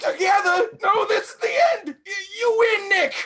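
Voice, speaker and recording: Shouting in a gruff, put-on character voice, the speaker hits an extremely high pitch at a moderate pace. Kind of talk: 1940s radio acting. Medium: stage play. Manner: gruff, tough-guy slang.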